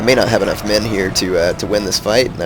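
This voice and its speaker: A man with a fairly low pitch and fairly even intonation at a fairly quick pace, with noticeable background noise. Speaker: gaming commentator. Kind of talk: gameplay commentary. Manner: casual, hesitant.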